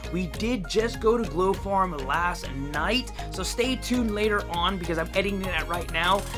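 At a moderate pace, a man talks while clear music plays in the background. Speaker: vlogger promoting a charity run. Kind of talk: casual vlog chat. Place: home room. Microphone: phone near.

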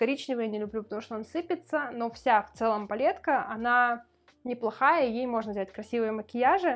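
At a fairly quick pace, a woman speaks in a high pitch. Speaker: beauty vlogger. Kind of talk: casual vlog monologue. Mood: relaxed, chatty. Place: home room.

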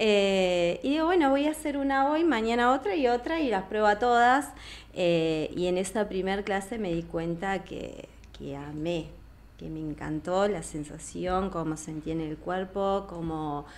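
Her pitch swings very widely as a woman talks at a fairly slow pace. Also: medium pitch for a woman. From Argentina, Plotier (Neuquén); Neuquén, Argentina. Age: 40s. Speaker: yoga teacher. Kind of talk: casual interview. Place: studio. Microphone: studio mic.

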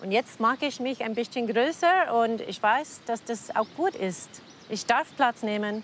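Speaking at a fairly slow pace with lively intonation, a woman with an American accent is heard in a dry recording with no echo and light background noise. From American (Colorado), lives in Cham, Germany. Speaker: puppeteer. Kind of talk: interview answer. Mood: reflective, warm. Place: waterside. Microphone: lapel.

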